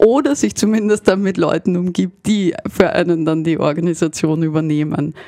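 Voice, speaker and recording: A woman talks at a fairly slow pace with ordinary pitch variation, and background noise is noticeable. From Vienna, Austria. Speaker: game studio founder. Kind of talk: radio interview. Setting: radio studio.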